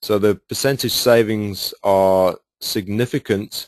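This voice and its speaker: Fairly low-pitched male speech in a British accent with ordinary pitch variation, dry and close with no echo, over a quiet background. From United Kingdom. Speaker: sales presenter. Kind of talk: webinar sales presentation. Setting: webinar.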